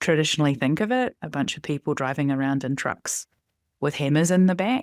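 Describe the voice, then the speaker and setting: A woman with a New Zealand accent, a very deep, low pitch and lively intonation, on a very clean, dry, close recording with no echo and a silent background. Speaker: data and analytics director. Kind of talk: podcast interview.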